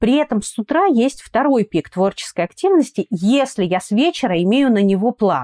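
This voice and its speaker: With very wide pitch swings, a woman speaks at a high pitch and a moderate pace, the sound dry and close with no echo and the background quiet. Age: 30s. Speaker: dermatologist and cosmetologist. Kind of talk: interview. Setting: remote recording.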